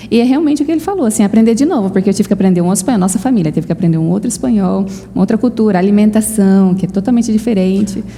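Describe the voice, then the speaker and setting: Speaking very fast with hardly any pauses, a woman uses a medium pitch and ordinary pitch variation. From Brazil. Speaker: missionary. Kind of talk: interview.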